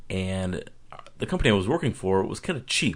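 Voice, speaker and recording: A man talks at a very fast pace. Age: 20s. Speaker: online forum member. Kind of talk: personal video monologue. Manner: casual, self-correcting with fillers.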